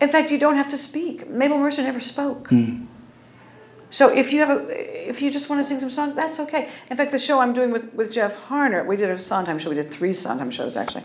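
A woman with an American accent speaks at a fairly quick pace in a high pitch. Her intonation is lively, and the room echo is audible. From Oklahoma. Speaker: cabaret singer. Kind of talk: interview.

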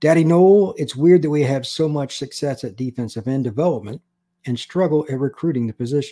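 Very fast and with lively intonation, a man speaks in a dark, mellow tone on a very clean recording with a silent background. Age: 50s. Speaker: sports podcast host. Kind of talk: solo sports analysis podcast.

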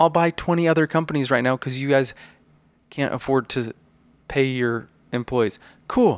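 Recorded very cleanly against a silent background with a dry, close sound with no echo, a man speaks with fairly high pitch and ordinary pitch variation. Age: 30s. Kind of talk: casual chat.

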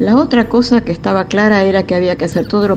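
A woman speaks over noticeable background noise. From Buenos Aires, Argentina. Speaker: former political prisoner and militant. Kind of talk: testimony.

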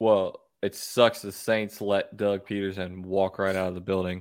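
Over a silent background on a very clean recording, a man speaks in a Southern US accent. His fairly low voice is monotone and flat at a moderate pace. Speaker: sports podcast host. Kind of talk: casual chat.

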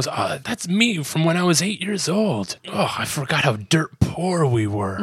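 A put-on character voice at a middle pitch, swinging very widely up and down and moving at a fairly slow pace. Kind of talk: comic retelling impression. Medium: game stream. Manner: wistful, complaining.

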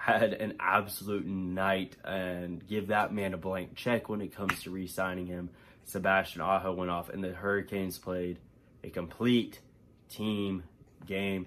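A man speaks at a fairly slow pace in a very deep, low pitch with monotone, flat intonation. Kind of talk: game recap.

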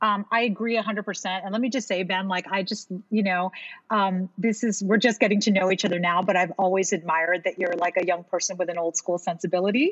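A woman speaks in a normal speaking voice at a medium pitch. She talks at a fairly quick pace. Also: fairly even intonation. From Miami, US. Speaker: Broadway singer and actress. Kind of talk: casual interview.

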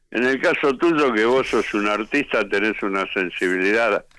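A man's voice shows ordinary pitch variation. It sits at a medium pitch. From Buenos Aires, Argentina. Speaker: rock musician. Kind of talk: interview.

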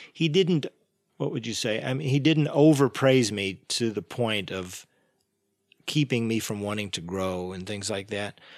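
A man with an American accent speaks in a normal speaking voice at medium pitch and a moderate pace. His intonation is lively, and the recording is very clean with a silent background. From Texas (Dallas, Texas Panhandle). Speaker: jazz drummer. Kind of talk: interview.

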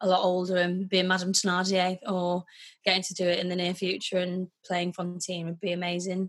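A woman's monotone, flat delivery in a Yorkshire accent, medium in pitch and moderate in pace. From northern England, Wakefield. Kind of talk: casual chat.

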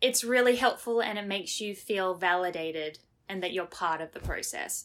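An Australian accent at a moderate pace, with ordinary pitch variation. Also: woman. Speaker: Broadway performer. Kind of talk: interview. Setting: remote call.

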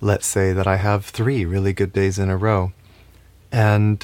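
At a moderate pace, a man speaks in a calm tone. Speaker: spiritual teacher. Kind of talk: spiritual talk.

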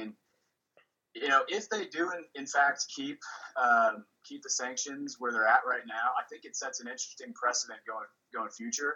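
A man with a Midwestern American accent talks at a moderate pace. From Kansas City, Kansas. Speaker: college football fan. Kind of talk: casual chat. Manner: halting, many fillers.

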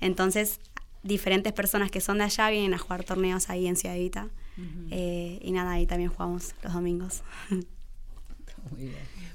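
A woman talks at a moderate pace in a monotone, flat intonation, leaving long, frequent pauses. Audible room echo surrounds her voice. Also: medium pitch for a woman. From Buenos Aires, Argentina. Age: young. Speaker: community footballer and university student. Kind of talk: radio interview.

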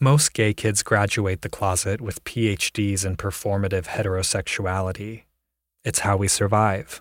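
A man with an American accent and a plain, everyday voice speaks at a moderate pace, his pitch fairly low and his intonation fairly even. The sound is dry and close with no echo, in a very clean recording with a silent background. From Ohio. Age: adult. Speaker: storyteller. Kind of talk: scripted narration.

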